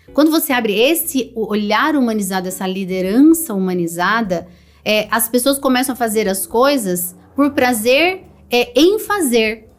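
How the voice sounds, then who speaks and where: Her pitch fairly high, a woman talks with lively intonation. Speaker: HR executive and mentor. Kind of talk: podcast interview. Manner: loud; fast.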